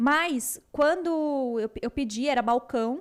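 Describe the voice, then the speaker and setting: Lively intonation marks this woman's speech in a São Paulo accent. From São Paulo, Brazil. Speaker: podcast co-host. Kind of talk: casual chat.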